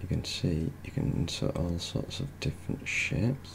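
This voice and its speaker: Over noticeable background noise, the speaker moves at a fairly slow pace with very wide pitch swings. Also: man. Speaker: ASMR tech tutorial host. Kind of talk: soft-spoken ASMR tutorial narration. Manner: soft-spoken, slow, calm.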